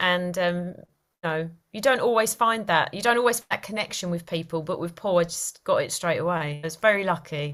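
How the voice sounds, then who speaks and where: A woman with an East London accent at a fairly quick pace, with ordinary pitch variation and big swings in loudness. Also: fairly low pitch for a woman. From East London, England. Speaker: actress. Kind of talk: interview.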